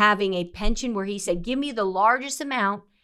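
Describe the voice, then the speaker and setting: The woman's voice has a medium pitch and an animated tone. Her intonation is lively. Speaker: financial planner and radio show host. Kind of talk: radio finance show monologue. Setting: studio.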